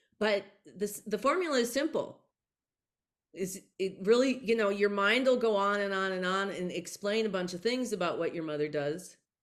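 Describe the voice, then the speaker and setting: In an ordinary speaking voice, a woman talks at a moderate pace with medium pitch and ordinary pitch variation. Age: 60s. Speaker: author and psychic channel. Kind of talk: interview conversation.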